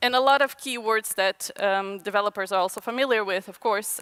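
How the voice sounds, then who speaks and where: With a Portuguese accent, a woman speaks at a moderate pace in a bright, sharp tone with ordinary pitch variation and a dry, close sound with no echo. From Brazil. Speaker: designer. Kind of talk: conference talk. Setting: stage with audience. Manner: halting.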